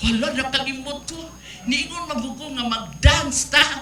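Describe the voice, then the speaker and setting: A woman speaks in a raised, projected voice at a high pitch with ordinary pitch variation. Her pace is moderate, and audible room echo surrounds her. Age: 70s. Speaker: city government official. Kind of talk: acceptance speech.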